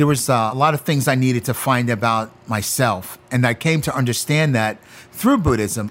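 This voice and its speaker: A man talks in a normal speaking voice at medium pitch and a moderate pace. His loudness stays very even, with ordinary pitch variation. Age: 50s. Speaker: chef and former prisoner. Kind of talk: interview testimony.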